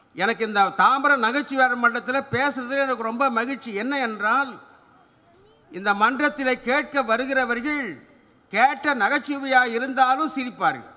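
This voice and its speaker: A man speaks in a raised, projected voice at an extremely high pitch. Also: ordinary pitch variation. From Tamil Nadu. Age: 70s. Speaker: humour speaker; speaker. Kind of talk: stand-up. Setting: stage with audience. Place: open country. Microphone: podium.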